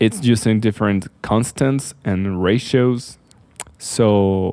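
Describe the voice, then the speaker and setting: A man with a non-native accent speaks in a fairly low voice, and his tone is dark and mellow. His pitch varies in an ordinary way, and the recording is very clean with a silent background. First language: not English. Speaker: architect, video creator. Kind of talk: casual explainer. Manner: halting, with fillers.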